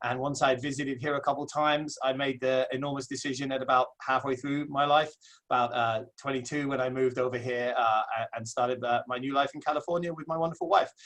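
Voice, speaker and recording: Speaking very fast with hardly any pauses, a man with an English accent keeps a medium pitch and a monotone, flat intonation. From southeast England. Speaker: associate principal. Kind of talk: webinar presentation. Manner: hesitant with many fillers.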